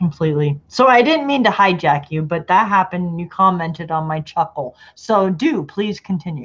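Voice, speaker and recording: The woman has a fairly low, somewhat breathy voice and lively intonation, speaking at a moderate pace with hardly any pauses. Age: 30s. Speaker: live stream host. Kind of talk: casual chat. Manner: animated.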